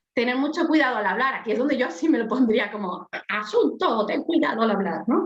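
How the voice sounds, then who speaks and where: Her intonation rises and falls in a lively way. The woman's pace is moderate. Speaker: life coach. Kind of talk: casual chat.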